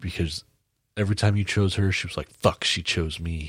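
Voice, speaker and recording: In a very clean recording with a silent background, a man speaks at a very deep, low pitch. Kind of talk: casual chat. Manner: loud.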